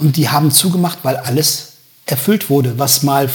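A fairly high-pitched man with fairly even intonation over music in the background. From Germany, Göttingen area (Lower Saxony). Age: 50s. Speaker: musician and a cappella singer. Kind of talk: casual interview.

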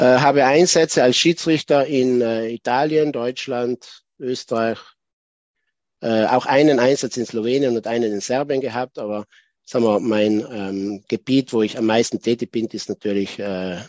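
A man talks at a medium pitch with ordinary pitch variation. It is an unremarkable speaking voice. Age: 40s. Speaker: chess arbiter. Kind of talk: lecture.

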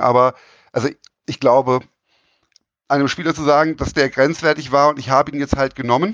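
Recorded dry and close with no echo against a quiet background, a man speaks at a fairly quick pace. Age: 40s. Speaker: volleyball referee. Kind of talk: casual interview. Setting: remote call. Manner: hesitant, many fillers.

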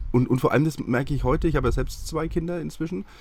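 With lively intonation, a man rattles along at a very fast pace. Vocal fry runs through his voice. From Franconia, Bavaria (near Hassfurt). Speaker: TV nostalgia expert. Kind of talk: casual interview.

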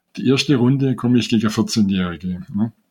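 A dark, mellow tone at a moderate pace. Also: man. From Swabia, Germany. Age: 70s. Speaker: chess player and rating researcher. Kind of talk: interview. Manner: halting, many fillers.

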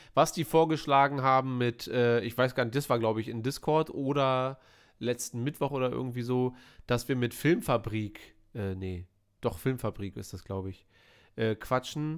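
A plain, everyday voice from a man, medium in pitch with ordinary variation, at a moderate pace in a very clean recording with a silent background. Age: 30s. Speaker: film podcast host. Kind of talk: casual chat.

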